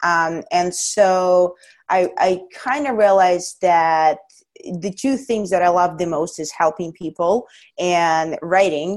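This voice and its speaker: A woman speaks very slowly at a fairly low pitch with ordinary pitch variation. The background is quiet. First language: not English. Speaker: strength coach and powerlifter. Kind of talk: casual interview chat.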